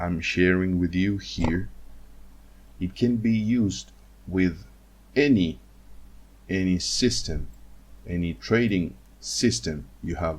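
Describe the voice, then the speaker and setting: A man with a non-native accent speaks very slowly in a very deep, low voice, with ordinary pitch variation. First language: not English. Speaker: trading educator. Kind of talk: screen-share tutorial. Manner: halting, many fillers and repetitions.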